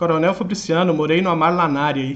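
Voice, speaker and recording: A man with a strong Minas Gerais accent, a fairly quick pace and audible room echo. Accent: strong Minas Gerais (mineiro). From Minas Gerais, Brazil. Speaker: online exam-prep teacher. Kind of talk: live stream chat with viewers. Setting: live stream.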